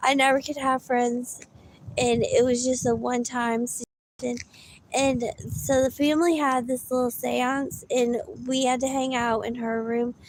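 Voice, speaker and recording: Speaking with a Southern US accent, a woman keeps a high pitch and fairly even intonation. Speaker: live-in caregiver and livestreamer. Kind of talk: casual livestream talk. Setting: livestream. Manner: halting, with frequent restarts.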